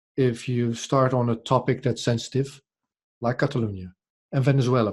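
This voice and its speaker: A man with a Dutch accent at a very fast pace, medium in pitch and somewhat breathy, on a very clean recording with a silent background. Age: 40s. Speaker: podcast journalist. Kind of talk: interview conversation. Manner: halting, many repetitions.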